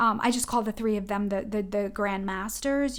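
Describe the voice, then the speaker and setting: Her intonation fairly even, a woman with a New England accent talks in a fairly high pitch. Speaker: oracle card reader. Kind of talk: spiritual guidance talk. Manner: fast.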